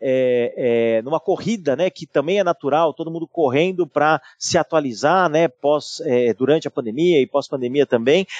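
A fairly high-pitched man at a moderate pace, with hardly any pauses and ordinary pitch variation, in a dry, close sound with no echo. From São Paulo, Brazil. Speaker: IT and digital director at a large company. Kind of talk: interview conversation. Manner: halting with many repetitions.

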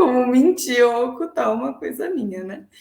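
High pitch and very wide pitch swings from a woman's voice. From São Paulo ABC region, Brazil. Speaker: marketing professional. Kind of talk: casual interview.

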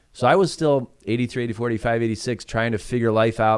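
Against a quiet background, a man with an American accent speaks at a medium pitch with fairly even intonation. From Chicago suburbs. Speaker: founding pastor. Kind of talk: casual chat.

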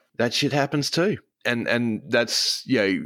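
A man with an Australian accent speaks at a fairly slow pace in a bright, sharp tone with lively intonation. The recording is very clean, with a silent background. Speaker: streamer. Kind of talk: casual chat.

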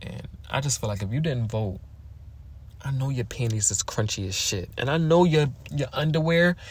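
With long, frequent pauses, a man of medium pitch talks at a moderate pace in an animated, somewhat breathy tone with lively intonation. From Philadelphia, US. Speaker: podcast host. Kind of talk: casual monologue.

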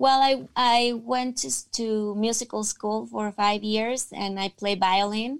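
A woman with a Spanish accent talks at a very slow pace with hardly any pauses. Her voice is fairly high, with ordinary pitch variation. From Mexico, Tijuana. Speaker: actress. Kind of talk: interview.

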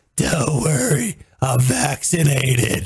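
A man uses a raspy, put-on character voice at a medium pitch. He talks at a fairly slow pace. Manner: casual, nonchalant.

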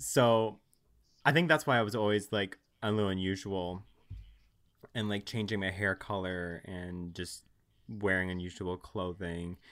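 A man with a very deep, low pitch speaks at a fairly slow pace with ordinary pitch variation and long, frequent pauses. The recording is very clean, with a silent background. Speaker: guest. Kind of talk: casual interview chat.

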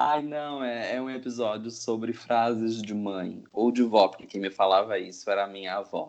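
A man with an ordinary speaking voice talks at a moderate pace and medium pitch, with fairly even intonation and hardly any pauses. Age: 20s. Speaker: podcast co-host, linguistics PhD student. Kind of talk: casual chat.

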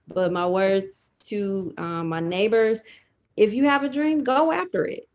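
In a normal speaking voice, a woman with an American accent talks at a medium pitch and a fairly slow pace. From Detroit, Michigan. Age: 30s. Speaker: judge. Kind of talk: interview. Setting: live stream.

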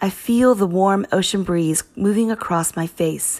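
Recorded very cleanly against a silent background, a woman talks in a normal speaking voice. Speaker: audiobook narrator. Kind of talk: audiobook narration, first-person reading. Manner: calm, measured, clinical tone.

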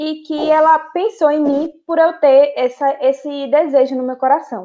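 Fairly slow speech from a woman, high in pitch, with ordinary pitch variation. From Conceição do Coité, Bahia, Brazil. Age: 20s. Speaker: podcast co-host, friend. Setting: remote recording.

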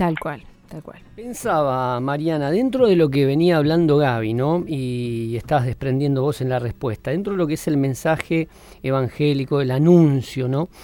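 This man has a dark, mellow tone, a fairly high pitch, ordinary pitch variation and a moderate pace. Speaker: radio host. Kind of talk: radio interview.

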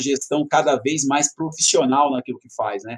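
Speaking at a moderate pace, a man has a plain, everyday voice pitched fairly high. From Brazil, São Paulo metro area. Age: 30s. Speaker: educator, prep course founder. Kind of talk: interview.

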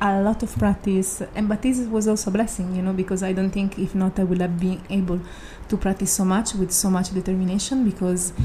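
A woman with an Italian accent speaks at a fairly quick pace and medium pitch. Her voice is somewhat breathy, with monotone, flat intonation. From Italy. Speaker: yoga and meditation teacher. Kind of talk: casual chat.

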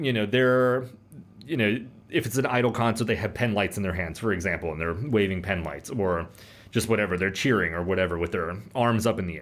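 This is a plain, everyday voice from a man with a fairly low pitch. He talks at a fairly quick pace with ordinary pitch variation. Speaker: manager and co-host. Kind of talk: casual chat.

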